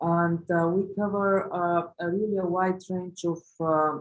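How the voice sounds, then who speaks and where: Her intonation stays fairly even. The woman has an Eastern European accent. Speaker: lawyer. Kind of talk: webinar presentation. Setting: online webinar. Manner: halting, many fillers.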